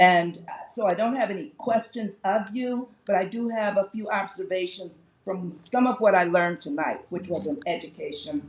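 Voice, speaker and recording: With an American accent, a woman talks at a moderate pace and medium pitch with lively intonation. Noticeable background noise can be heard. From Detroit, US Midwest. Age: 70s. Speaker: audience member. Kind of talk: audience question.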